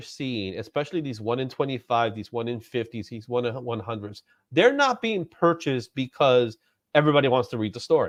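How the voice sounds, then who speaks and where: A man speaks at a fairly quick pace with a New York accent. The background is quiet. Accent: New York accent, self-described. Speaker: comics YouTube host. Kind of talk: casual chat. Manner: projecting voice.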